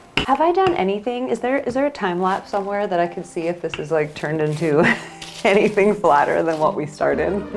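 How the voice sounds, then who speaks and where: An upbeat woman with lively intonation at a fairly quick pace, music in the background. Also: medium pitch for a woman. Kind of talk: casual talk to camera. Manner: upbeat, chatty.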